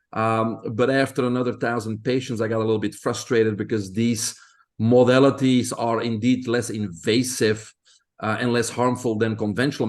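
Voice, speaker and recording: A man is speaking at a moderate pace. His pitch is medium. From Belgium. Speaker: health expert. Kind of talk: interview.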